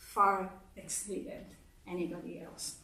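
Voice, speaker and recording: Speech in a Japanese accent carries audible room echo. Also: woman. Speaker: speaker at a congregation service. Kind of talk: sermon.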